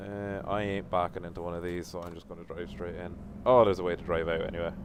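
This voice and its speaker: A very deep, low-pitched man's voice in an Irish accent, very fast, with fairly even intonation and big swings in loudness. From Ireland. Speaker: gaming streamer. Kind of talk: live gameplay stream chat. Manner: casual, chatty.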